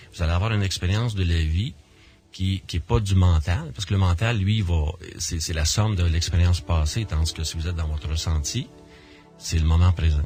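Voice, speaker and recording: A man with a Quebec accent talks at a fairly quick pace in a very deep, low pitch. Music plays in the background, and his pitch varies in an ordinary way. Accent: Québécois French. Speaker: near-death experiencer and association director. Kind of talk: radio interview. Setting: radio studio. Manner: halting, many repetitions and fillers.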